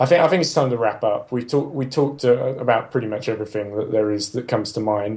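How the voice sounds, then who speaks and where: Hardly pausing, a man speaks at a very fast pace. His voice is somewhat breathy, medium in pitch, with ordinary pitch variation. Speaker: motorsport podcast panelist. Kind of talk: casual chat. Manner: halting.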